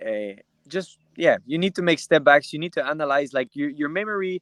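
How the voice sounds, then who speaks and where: A man speaks at a moderate pace with a Quebec accent, the sound dry and close with no echo. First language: French. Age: 20s. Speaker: UFC fighter. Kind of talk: interview. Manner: halting.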